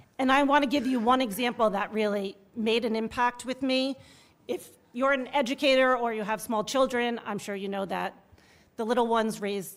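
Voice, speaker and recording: At a moderate pace, a woman speaks in a shaky, fairly high voice with ordinary pitch variation. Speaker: teachers' union leader. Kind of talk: public testimony. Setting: legislative hearing room. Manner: shaky voice.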